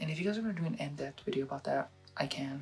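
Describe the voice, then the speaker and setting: Music plays in the background. A man is speaking. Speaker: photo editing tutorial creator. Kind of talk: casual tutorial talk to camera. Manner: hesitant, rambling.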